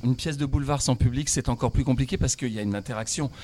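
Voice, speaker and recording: This is a man with an ordinary speaking voice. His pitch sits in the medium range with ordinary variation. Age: 60s. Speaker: comic stage actor. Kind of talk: radio interview.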